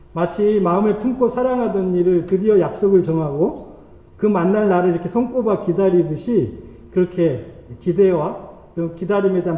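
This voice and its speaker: There is audible room echo and noticeable background noise as a man speaks in a high voice. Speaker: pastor. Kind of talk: sermon. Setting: church. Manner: fast.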